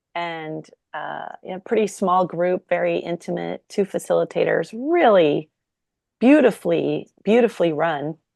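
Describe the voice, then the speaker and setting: A woman talks at a fairly slow pace with big swings in loudness, recorded dry and close with no echo against a quiet background. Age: 50s. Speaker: podcast host. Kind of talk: casual interview conversation.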